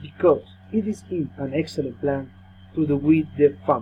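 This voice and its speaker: A man with a Colombian accent talks at a fairly slow pace in a fairly high pitch. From Colombia, Bogota. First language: Spanish. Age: 30s. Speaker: language student. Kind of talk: class presentation, reading prepared text. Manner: halting.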